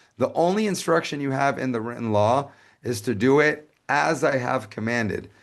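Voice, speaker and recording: Lively intonation marks this man's medium-pitched voice. The background is quiet. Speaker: lecturer on Judaism. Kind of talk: lecture. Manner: fast.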